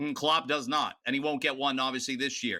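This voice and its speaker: Over a very clean recording with a silent background, a man with a Canadian accent and a fairly high pitch speaks at a moderate pace in a bright, sharp tone with lively intonation. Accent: Canadian twang. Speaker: football pundit. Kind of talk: debate.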